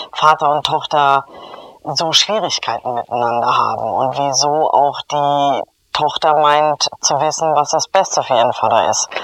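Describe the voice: At a fairly slow pace, the voice has a fairly bright tone and fairly even intonation.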